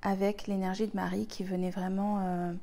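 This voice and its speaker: There is audible room echo around this woman's voice. She speaks at a moderate pace in a medium pitch with a dark, mellow tone. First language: Spanish (speaking French). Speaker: spiritual healer, retreat leader. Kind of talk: personal spiritual talk to viewers. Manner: hesitant, many fillers and repetitions.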